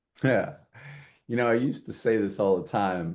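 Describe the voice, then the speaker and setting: A man with a New York accent talks with lively intonation over a quiet background. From New York, Queens. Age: 70s. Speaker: diversity advocate and author. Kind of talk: podcast interview. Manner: animated.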